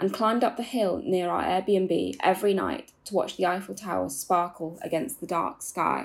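On a very clean recording with a silent background, a woman uses vocal fry at a medium pitch. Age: 20s. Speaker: Gen Z columnist. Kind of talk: reading own essay aloud.

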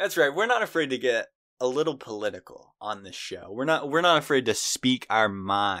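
A man's bright, sharp voice with an American accent, medium pitch, moderate pace and very wide pitch swings, dry and close with no echo in a very clean recording with a silent background. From United States. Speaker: podcast co-host. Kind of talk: casual chat.

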